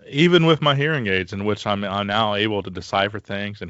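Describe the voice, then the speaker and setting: This man talks very fast. His voice sits fairly low. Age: 40s. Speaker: podcast host and firefighter. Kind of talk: interview conversation. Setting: recording from home during isolation.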